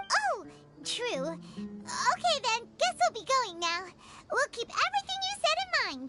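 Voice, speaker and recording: A squeaky, put-on character voice at an extremely high pitch, fairly slow in pace, with music in the background. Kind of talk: video game dialogue. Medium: video game. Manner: excitable, chirpy.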